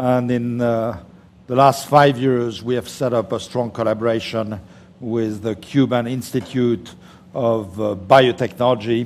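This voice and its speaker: With a slight French accent, a man speaks at a fairly slow pace. His intonation is fairly even. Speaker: biotech entrepreneur. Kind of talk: panel discussion.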